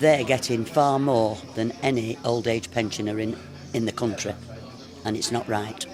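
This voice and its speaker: Music plays in the background as a man talks at a moderate speed. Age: 80s+. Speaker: pub regular. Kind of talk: interview.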